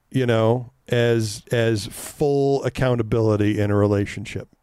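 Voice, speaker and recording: A man speaks with a dark, mellow tone. His intonation stays fairly even. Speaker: podcast host. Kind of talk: casual chat. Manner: loud when serious.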